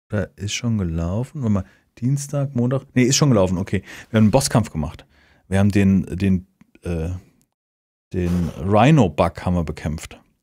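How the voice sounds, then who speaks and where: In a very clean recording with a silent background, a man with a fairly low pitch speaks at a moderate pace, leaving long, frequent pauses. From Hesse, near Hanau. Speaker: podcast co-host. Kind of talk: casual chat.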